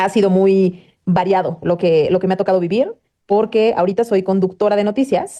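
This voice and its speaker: A woman's medium-pitched voice, dark and mellow in tone, at a moderate pace, with very even loudness and fairly even intonation. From Mexico, Puebla. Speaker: news anchor. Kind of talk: interview.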